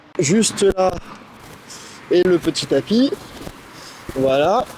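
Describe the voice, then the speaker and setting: Noticeable background noise beneath a man's high voice. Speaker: horse trainer. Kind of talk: outdoor tutorial vlog.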